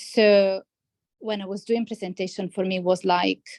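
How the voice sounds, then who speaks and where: A woman speaks at a medium pitch, her voice dry and close with no echo. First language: not English. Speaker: healthcare scientist, former coaching client. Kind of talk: interview conversation. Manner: hesitant, many fillers and restarts.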